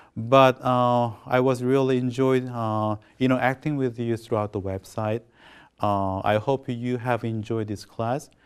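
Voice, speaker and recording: In a Korean accent, a man speaks at medium pitch and a fairly slow pace. His intonation is monotone and flat, on a very clean recording with a silent background. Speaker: professor. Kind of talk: lecture. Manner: halting.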